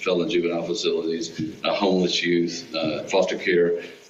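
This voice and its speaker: A man with a very deep, low pitch and an American accent, fairly quick and monotone, amid noticeable background noise and audible room echo. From Texas. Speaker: nonprofit executive. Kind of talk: Q&A at a club meeting. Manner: casual.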